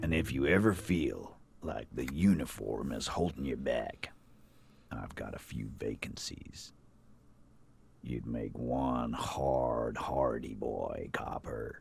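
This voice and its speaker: A man in a put-on character voice speaks fairly slowly, his pitch very deep and low, with lively intonation. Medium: game stream. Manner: gruff, swaggering.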